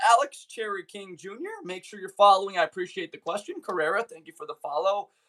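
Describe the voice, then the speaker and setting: Projected and raised, a man's bright, sharp voice at a high pitch races along very fast with ordinary pitch variation and big swings in loudness, the sound dry and close with no echo. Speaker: sports streamer. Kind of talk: live stream chat. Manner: animated.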